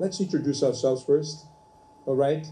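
There is light background noise as a man speaks at a fairly high pitch. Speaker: ESL professor. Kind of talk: event moderation. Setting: classroom event with live audience. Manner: animated, warm and effusive; hesitant, many fillers. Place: classroom.

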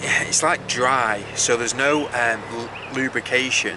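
A man speaks with ordinary pitch variation. The sound is dry with no echo, but there is noticeable background noise. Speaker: vlogger. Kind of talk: casual vlog chat. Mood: mildly annoyed, chatty. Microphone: phone near.

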